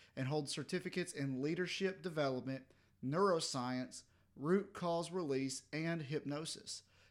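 Male speech, fairly high-pitched, in a Southern US accent. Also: very clean recording, silent background. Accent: southern drawl. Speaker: podcast host. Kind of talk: casual interview chat.

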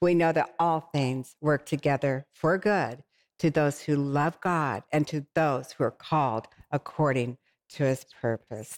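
A woman speaks fairly slowly in a warm tone at a very even loudness. The recording is very clean, with a silent background and a dry, close sound free of echo. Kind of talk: faith-based talk show interview. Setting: TV studio set. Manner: warm, effusive.

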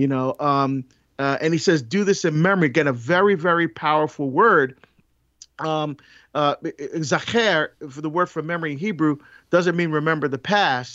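A man speaks at a moderate pace with a fairly high pitch and ordinary pitch variation. He has an ordinary speaking voice. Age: 50s. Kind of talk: casual faith discussion. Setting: remote recording, virtual studio.

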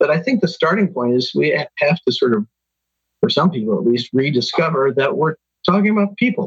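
Someone with an American accent speaks with very wide pitch swings in a dry, close sound with no echo. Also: man, high pitch for a man. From Kansas, US Midwest. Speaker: psychologist and workplace consultant. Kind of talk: interview. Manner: hesitant with frequent fillers.

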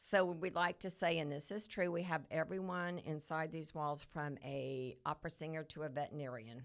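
A woman's very deep, low pitch with ordinary pitch variation, at a moderate pace with hardly any pauses, on a very clean recording with a silent background. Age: 50s. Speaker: co-working space owner. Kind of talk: casual interview chat. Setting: in person at a co-working space.

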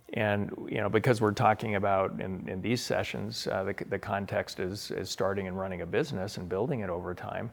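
A man with an American accent uses a normal speaking voice, talking at a fairly quick pace with hardly any pauses, fairly low pitch and ordinary pitch variation. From US Pacific Northwest (Spokane, Washington). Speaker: author and entrepreneur. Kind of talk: interview.

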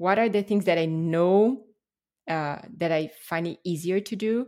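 A woman with a Brazilian accent and a fairly low pitch speaks at a fairly slow pace with ordinary pitch variation. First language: Portuguese. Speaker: language teacher. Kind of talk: casual interview.

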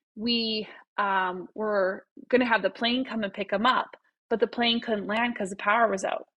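Speaking at a moderate pace in a Canadian Prairies accent, a woman of medium pitch shows ordinary pitch variation. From Saskatchewan, Canada (Saskatoon). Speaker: family physician. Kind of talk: casual interview.

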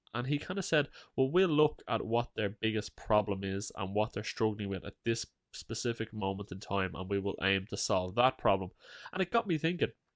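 Against a quiet background, a man with an Irish accent talks at a fairly quick pace and fairly low pitch, his intonation lively and the sound dry and close with no echo. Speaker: podcast co-host. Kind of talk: casual chat.

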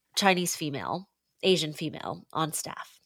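A woman talks in a Pacific Northwest accent. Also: very clean recording, silent background. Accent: American, Pacific Northwest. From Seattle, US Pacific Northwest. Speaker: pastor. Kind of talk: interview conversation.

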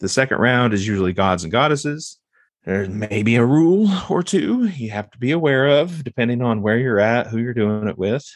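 With an ordinary speaking voice, a man talks at a medium pitch and a fairly quick pace, his intonation lively. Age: 40s. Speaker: occultist and professional hypnotist. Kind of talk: casual chat.

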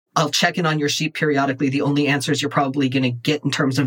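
Fairly even intonation marks an ordinary speaking voice. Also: man. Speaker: guest comic podcaster. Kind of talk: casual chat, actual play roleplaying game. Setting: home recording with baby and fan noise.

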